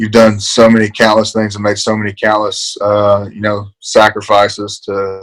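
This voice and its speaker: In an Appalachian accent, a man speaks at a fairly low pitch with monotone, flat intonation, the sound dry and close with no echo. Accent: Appalachian Southern US. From eastern Kentucky, Appalachia (Paintsville). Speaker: college football player, NFL draft prospect. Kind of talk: interview. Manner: halting, many fillers.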